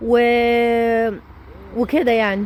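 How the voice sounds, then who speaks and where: Animated in tone, a woman speaks with a high pitch. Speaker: vlogger. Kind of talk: casual vlog monologue.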